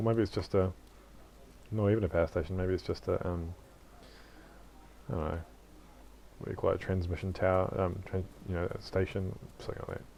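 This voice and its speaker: With a very deep, low pitch and a dark, mellow tone, a man talks at a very fast pace in fairly even intonation, broken by long, frequent pauses. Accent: New Zealand. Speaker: gaming YouTuber. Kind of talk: casual gameplay commentary. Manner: casual, hesitant with fillers.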